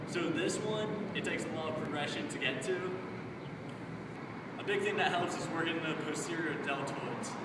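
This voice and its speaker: The room echo is audible. Loud noise fills the background. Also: man. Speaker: fitness instructor. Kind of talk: casual exercise tutorial to camera. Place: street. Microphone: camera far.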